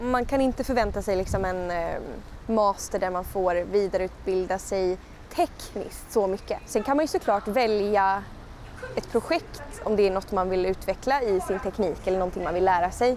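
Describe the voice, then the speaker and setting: A plain, everyday voice from a woman at medium pitch, moderate pace, ordinary pitch variation. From Skåne, southern Sweden. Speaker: musical theatre performer. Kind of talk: interview answer. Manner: casual, conversational.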